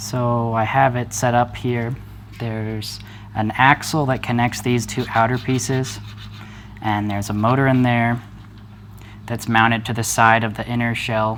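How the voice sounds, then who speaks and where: A man mumbles at a fairly slow pace and medium pitch, with long, frequent pauses. His intonation is monotone and flat over noticeable background noise. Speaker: hobbyist maker, video creator. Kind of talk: unscripted tutorial demo. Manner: mumbling a little; hesitant, with fillers.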